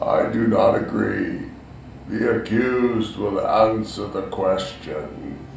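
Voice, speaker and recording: A man's put-on character voice, at a very slow pace, with a slight echo. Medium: audio drama. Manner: formal, authoritative.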